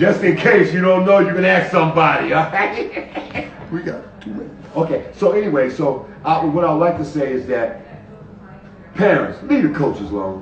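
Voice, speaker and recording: Over noticeable background noise and audible room echo, a man speaks at a moderate pace in a high pitch with very wide pitch swings. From Hartford, Connecticut. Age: 70s. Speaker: basketball coach. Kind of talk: interview on a live stream.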